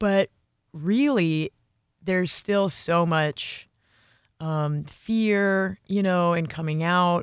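Speaking at a very slow pace with long, frequent pauses, a woman with a fairly low voice is heard on a very clean recording against a silent background. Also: ordinary pitch variation. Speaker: podcast host. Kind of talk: scripted narration with interview.

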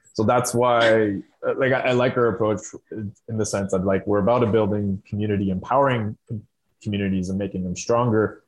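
A man with an Ontario accent speaks at a fairly quick pace. His pitch is fairly low and his intonation fairly even. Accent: Canadian (Ontario). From Southern Ontario, Canada. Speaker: rural climate organization worker. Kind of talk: casual interview chat.

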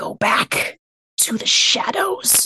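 A raspy, hissing, put-on character voice. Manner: hissing, menacing.

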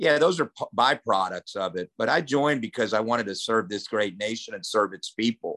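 Against a quiet background, a man with an American accent talks fairly quickly in an animated, bright, sharp tone, his medium-pitched voice lively in intonation, the sound dry and close with no echo. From grew up around the world as US Army child, partly Oklahoma. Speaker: army veteran and motivational speaker. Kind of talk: podcast interview.

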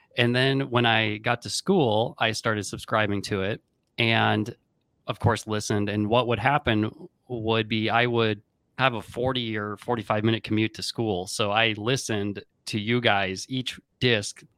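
With an unremarkable speaking voice, a man talks at a medium pitch and a fairly slow pace with fairly even intonation, in a very clean, silent-background recording with a dry, close sound and no echo. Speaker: podcast host and chiropractor. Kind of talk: interview with ad reads.

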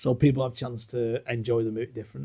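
The voice has a dark, mellow tone and is somewhat breathy. It moves at a fairly quick pace. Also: man. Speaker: podcast co-host. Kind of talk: casual chat.

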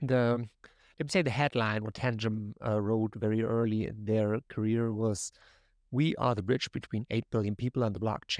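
In a German accent, a man speaks at a moderate pace with fairly even intonation, the sound dry and close with no echo over a quiet background. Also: medium pitch for a man. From Germany. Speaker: crypto company brand ambassador. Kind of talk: casual interview. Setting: video call.

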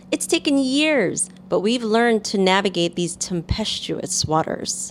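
In a normal speaking voice, a woman talks with an American accent. Her intonation is lively and her pace fairly slow. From New York City. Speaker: podcast co-host, marketer and entertainer. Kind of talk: casual chat.

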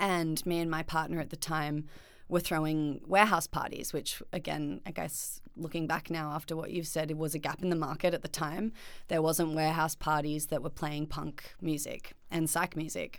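A woman speaks with an Australian accent. Her very deep, low voice stays monotone and flat. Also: moderate pace. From Australia, Byron Bay / Northern Rivers NSW. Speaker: florist and small business owner. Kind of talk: casual chat.

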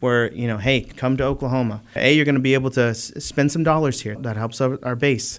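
Here is an ordinary speaking voice with an American accent. The pace is fairly quick and the intonation fairly even. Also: man. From California. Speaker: biotech company co-founder. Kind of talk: interview.

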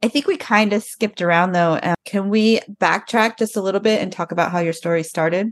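A woman talks at a fairly quick pace with an American accent and a medium pitch. Her pitch variation is ordinary, and the sound is dry and close with no echo. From Arizona. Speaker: podcast host, military veteran. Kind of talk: casual chat. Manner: animated.

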